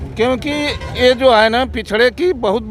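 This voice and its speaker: A man's voice with noticeable background noise. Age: 70s. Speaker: local party official and doctor. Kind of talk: street interview.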